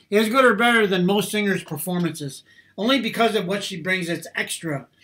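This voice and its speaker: The pitch is high for a man. He varies it in an ordinary way. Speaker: reaction video host. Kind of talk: casual commentary. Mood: admiring, enthusiastic. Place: home room. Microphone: webcam.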